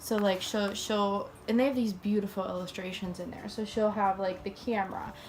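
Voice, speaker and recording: Hardly pausing at all, a woman speaks in a monotone, flat voice against noticeable background noise. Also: medium pitch for a woman, moderate pace. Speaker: book reviewer. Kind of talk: casual talk to camera.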